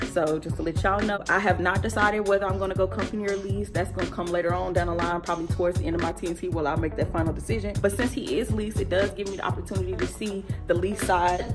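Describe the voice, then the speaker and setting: Clear music plays in the background. Over it, a woman talks at a very fast pace. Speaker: truck driver in training. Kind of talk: casual vlog talk to camera. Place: home room. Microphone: phone near.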